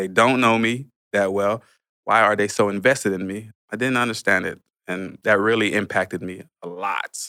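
A man's bright, sharp tone with an American accent, at a fairly low pitch, moderate pace and fairly even intonation. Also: very clean recording, silent background. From Haitian family, later Miami, Florida. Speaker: pastor. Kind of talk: testimony. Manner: halting with many fillers.

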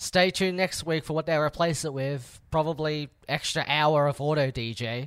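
A plain, everyday voice at a moderate pace, with hardly any pauses and fairly even intonation, in a very clean recording with a silent background. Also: man, fairly high pitch for a man. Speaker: podcast host. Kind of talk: casual banter podcast.

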